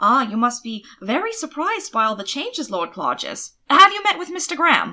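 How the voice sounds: A woman puts on a character voice with a high pitch and a bright, sharp tone. Her pitch swings very widely. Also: moderate pace.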